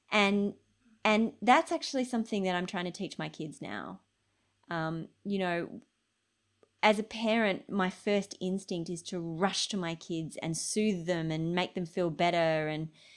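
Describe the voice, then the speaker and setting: A woman's normal speaking voice at medium pitch, fairly slow, with ordinary pitch variation. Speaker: health journalist and documentary filmmaker. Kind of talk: Q&A answer in online interview. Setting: online video call, lockdown.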